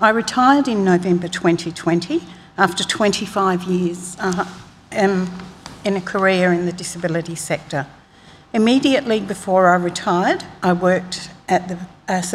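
Over light background noise, a woman with an Australian accent talks at medium pitch and a moderate pace, with ordinary pitch variation. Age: 60s. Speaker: public witness. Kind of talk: reading aloud a witness statement. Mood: calm, composed, formal. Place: hall. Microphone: podium.

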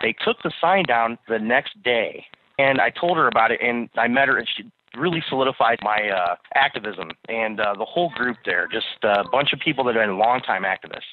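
A man with a medium pitch and lively intonation talks at a moderate pace in a plain, everyday voice. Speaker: caller. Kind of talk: casual chat. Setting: phone call.

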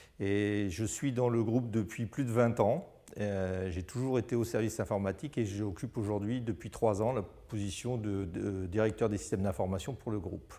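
A man speaks at a moderate pace with hardly any pauses. His fairly low voice is dark and mellow, with ordinary pitch variation. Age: 40s. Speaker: IT director. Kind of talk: testimony. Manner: halting, many repeated words. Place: office. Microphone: lapel.

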